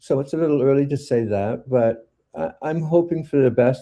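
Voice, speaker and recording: A man speaks at a moderate pace with a Canadian accent. His tone is dark and mellow, and his pitch sits fairly high. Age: 70s. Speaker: poet. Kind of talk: interview. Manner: halting.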